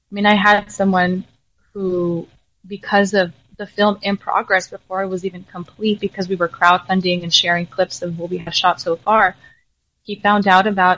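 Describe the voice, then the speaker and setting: Her delivery is fairly quick and monotone, with flat intonation and a dry, close sound with no echo. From US, raised from age four after early childhood in Jalisco, Mexico. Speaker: filmmaker and entrepreneur. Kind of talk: interview.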